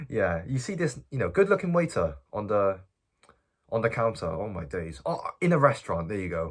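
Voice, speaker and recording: A man speaks with very wide pitch swings and vocal fry. The recording is very clean, with a silent background. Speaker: self-improvement youtuber. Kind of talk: casual vlog advice. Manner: stuttering.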